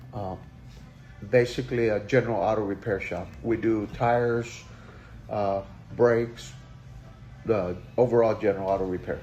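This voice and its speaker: A man with a fairly low pitch speaks at a moderate pace. He takes long, frequent pauses while music plays in the background. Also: ordinary pitch variation. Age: 60s. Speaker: auto repair shop owner. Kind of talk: interview. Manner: halting, many fillers.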